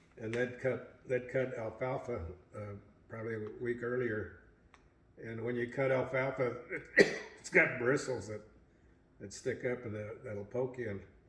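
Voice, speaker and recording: A man's medium-pitched, monotone voice with flat intonation at a moderate pace, big swings in loudness and long, frequent pauses, amid noticeable background noise and audible room echo. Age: 80s+. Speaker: family elder sharing memories. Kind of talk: family reminiscing interview.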